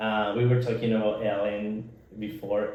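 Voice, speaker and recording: Talking in a Nicaraguan accent at a moderate pace, a man speaks in a monotone, flat intonation with audible room echo. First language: Spanish. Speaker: podcast co-host. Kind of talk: casual chat. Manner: halting.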